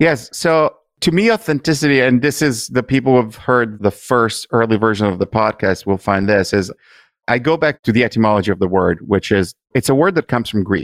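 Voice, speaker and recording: A man with an Italian accent, medium pitch, lively intonation, and fairly quick pace, on a very clean recording with a silent background and a dry, close sound with no echo. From Italy. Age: 50s. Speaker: podcast host, digital marketer. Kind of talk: interview.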